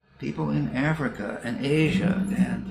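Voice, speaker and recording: A man is speaking. Audible room echo surrounds the voice. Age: 80s+. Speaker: retired professor of counseling psychology. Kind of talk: interview. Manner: repetitive, halting.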